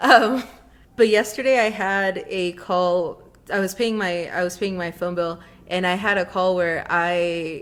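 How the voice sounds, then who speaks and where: This woman is soft-spoken. She talks at a fairly slow pace. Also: medium pitch for a woman, fairly even intonation. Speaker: podcast co-host. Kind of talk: casual chat. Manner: soft consonants, unpopped T's.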